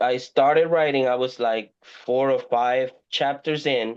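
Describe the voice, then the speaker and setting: A man talks at a very slow pace with a Spanish accent. His pitch sits in the medium range. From Puerto Rico. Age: 40s. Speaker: indie horror author. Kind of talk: podcast interview. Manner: halting, many repeated words.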